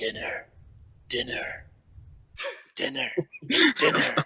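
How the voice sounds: A put-on character voice, whispering and raspy, at a fairly slow pace.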